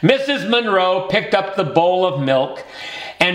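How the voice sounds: The reading voice sounds natural. Lively intonation colors it.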